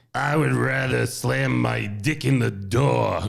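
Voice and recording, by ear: A man puts on a raspy character voice. He talks at a fairly slow pace with very wide pitch swings. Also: fairly low pitch for a man.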